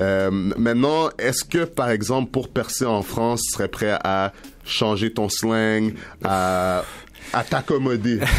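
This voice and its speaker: Very slowly and in a Quebec accent, a man speaks at medium pitch with ordinary pitch variation over noticeable background noise. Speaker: radio host. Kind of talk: interview. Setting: radio studio. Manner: halting.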